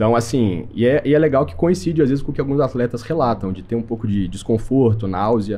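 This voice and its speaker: Intonation is lively over a dark, mellow tone. The speech moves fairly quickly. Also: man. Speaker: medical doctor. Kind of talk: podcast interview. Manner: fast; casual.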